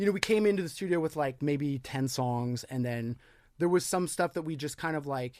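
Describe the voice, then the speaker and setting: This man has a normal speaking voice, fairly high in pitch with ordinary variation, moving at a moderate pace in a very clean recording with a silent background. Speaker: rock singer. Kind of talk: casual chat.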